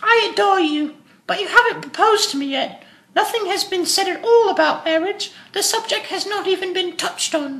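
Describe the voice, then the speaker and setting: A woman's squeaky put-on character voice, extremely high in pitch, at a fairly quick pace with slight echo. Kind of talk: Victorian comedy of manners. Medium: stage play. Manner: affected, haughty.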